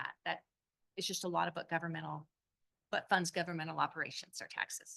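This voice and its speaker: Very fast delivery broken by long, frequent pauses, in a dry, close sound with no echo. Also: woman. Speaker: city finance officer. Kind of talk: budget presentation at public meeting. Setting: city council meeting.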